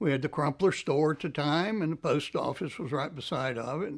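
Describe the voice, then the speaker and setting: A man with an Appalachian accent, fairly high in pitch, with ordinary pitch variation, on a very clean recording with a silent background. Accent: Appalachian Southern US. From Ashe County, North Carolina. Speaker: former farm worker. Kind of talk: documentary interview answer. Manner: casual, reminiscing.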